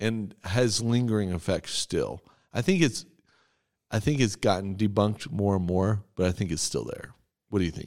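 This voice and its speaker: A normal speaking voice with an American accent and ordinary pitch variation comes through on a very clean recording with a silent background. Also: man, fairly low pitch for a man, moderate pace. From Texas. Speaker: church podcast host, pastor. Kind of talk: casual chat about scripture.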